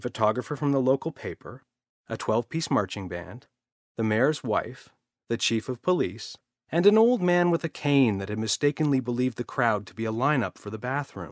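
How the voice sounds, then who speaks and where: A man with an unremarkable speaking voice and medium pitch talks at a fairly quick pace, his intonation lively and his loudness swinging widely. The sound is dry and close with no echo, on a very clean recording with a silent background. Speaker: storyteller. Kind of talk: children's audiobook narration.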